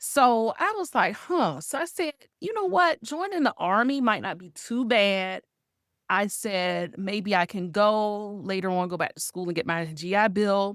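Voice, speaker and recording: A woman's plain, everyday voice with an American accent, medium in pitch, at a fairly slow pace, with a dry, close sound and no echo on a very clean recording with a silent background. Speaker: guest, resilience mentor and speaker. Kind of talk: interview answer, personal story.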